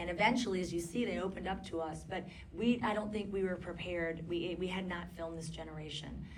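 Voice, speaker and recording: A woman talks at a fairly quick pace with fairly even intonation. Noticeable background noise and audible room echo fill the recording. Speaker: documentary filmmaker. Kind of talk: audience Q&A discussion. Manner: loud. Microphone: poor handheld microphone.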